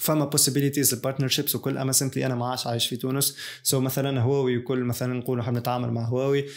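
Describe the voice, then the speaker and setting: A man at a very fast pace, flat and monotone, over a quiet background. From Tunisia. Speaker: YouTuber; tech youtuber. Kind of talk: casual vlog monologue; casual vlog chat. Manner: halting, many fillers. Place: studio.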